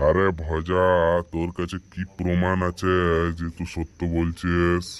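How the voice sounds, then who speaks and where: In a very clean recording with a silent background, a man performs a cartoonish character voice at a moderate pace, with very deep, low pitch and monotone, flat intonation. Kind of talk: comic rustic cartoon dialogue. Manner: blunt, colloquial, gruff.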